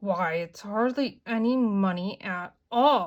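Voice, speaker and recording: This woman uses a put-on character voice that is gravelly and medium in pitch, with lively intonation. The recording is very clean, with a silent background. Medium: read story. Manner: grumpy, harsh.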